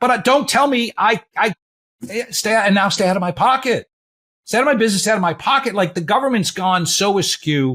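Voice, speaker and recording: A man's high, animated voice with very wide pitch swings, dry and close with no echo, on a very clean recording with a silent background. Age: 60s. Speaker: podcast host, financial planner. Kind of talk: casual interview chat. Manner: halting.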